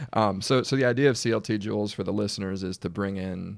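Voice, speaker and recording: On a very clean recording with a silent background, a man with an American accent and an ordinary speaking voice talks at a fairly quick pace in a fairly low pitch. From Washington DC area. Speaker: podcast host. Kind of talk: interview.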